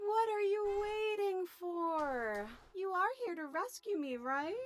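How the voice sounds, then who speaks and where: Putting on a character voice, a woman squeaks at an extremely high pitch with very wide pitch swings at a fairly slow pace. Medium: video game. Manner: threatening edge under sweetness.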